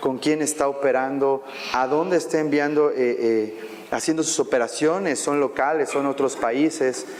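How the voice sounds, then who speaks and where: Delivery is at a moderate pace, with fairly even intonation and very even loudness. Noticeable background noise is audible. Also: man. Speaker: banking compliance expert, panelist. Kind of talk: panel discussion. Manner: halting, many fillers.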